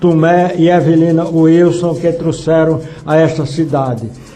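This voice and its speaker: A man's high voice carries audible room echo, with music playing in the background. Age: 80s+. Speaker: retired pastor. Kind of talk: radio interview.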